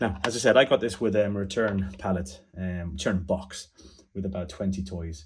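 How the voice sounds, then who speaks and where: With an Irish accent, a man speaks in a very deep, low pitch, somewhat breathy, with ordinary pitch variation. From Ireland. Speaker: toy repair hobbyist. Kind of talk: tutorial. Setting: home desk. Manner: halting.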